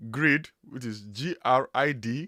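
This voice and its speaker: A man with a strong Nigerian accent speaks at a fairly high pitch. The sound is dry and close with no echo, in a very clean recording with a silent background. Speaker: web developer, YouTuber. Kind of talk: live stream chat. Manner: casual, with repetitions.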